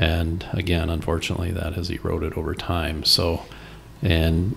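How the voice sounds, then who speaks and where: This man has a very deep, low pitch, a somewhat breathy sound and an American accent. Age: 60s. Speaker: organic hay farmer. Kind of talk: interview. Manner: casual, with fillers.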